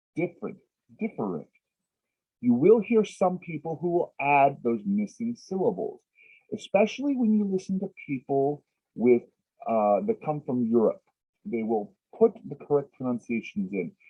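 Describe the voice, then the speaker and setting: A man, high in pitch, with long, frequent pauses. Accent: American. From Texas. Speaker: English teacher. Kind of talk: lecture. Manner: slow.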